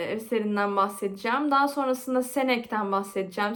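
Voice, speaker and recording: Speaking with a Turkish accent, a woman uses a fairly high pitch and fairly even intonation. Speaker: literature student, video creator. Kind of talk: casual vlog intro then study revision talk. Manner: halting with self-corrections.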